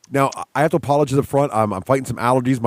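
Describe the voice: In a raspy, put-on character voice of medium pitch, a man speaks at a very fast pace.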